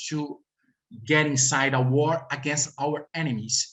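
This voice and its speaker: Speaking fairly slowly with a Brazilian accent, a man sounds somewhat breathy. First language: Portuguese. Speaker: researcher. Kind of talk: panel presentation. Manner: halting.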